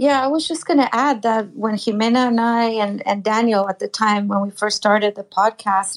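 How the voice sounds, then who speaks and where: A woman's unremarkable speaking voice, fairly high-pitched, at a moderate pace, on a very clean recording with a silent background. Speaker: listener joining the chat. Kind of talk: casual chat. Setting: live audio chat room.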